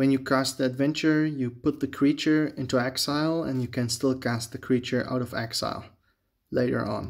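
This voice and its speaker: A man with a non-native accent speaks at a moderate pace in a medium pitch, his intonation monotone and flat, over a quiet background. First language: not English. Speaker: Magic: The Gathering booster opener, YouTuber. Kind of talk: casual video commentary while opening card packs. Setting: home video, talking to camera. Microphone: phone near.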